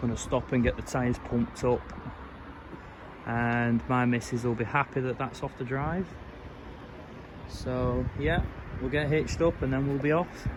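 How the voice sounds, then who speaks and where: Man at medium pitch, moderate pace, fairly even intonation, long and frequent pauses, noticeable background noise. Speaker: property renovation vlogger. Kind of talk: casual vlog talk to camera.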